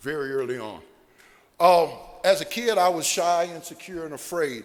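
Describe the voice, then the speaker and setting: A man at a moderate pace, high-pitched, with ordinary pitch variation and big swings in loudness. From Ohio (Sandusky). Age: 60s. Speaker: recovering alcoholic speaker. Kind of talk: AA speaker talk / testimony.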